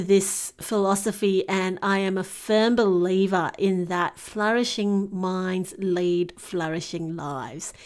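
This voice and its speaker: A woman with a medium pitch talks at a very slow pace, her intonation fairly even. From Singapore. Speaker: podcast host, teacher and life coach. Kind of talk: solo podcast monologue.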